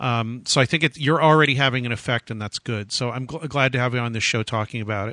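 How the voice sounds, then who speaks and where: A man speaks at a medium pitch with ordinary pitch variation, in a normal speaking voice. The background is quiet, and the sound is dry and close with no echo. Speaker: radio host. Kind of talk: casual interview. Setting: phone call.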